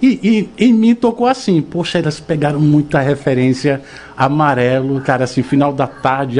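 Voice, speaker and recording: With a strong northeastern Brazilian accent, a man speaks at a moderate pace, his pitch swinging very widely. Noticeable background noise runs underneath. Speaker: radio host. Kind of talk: radio interview. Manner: animated.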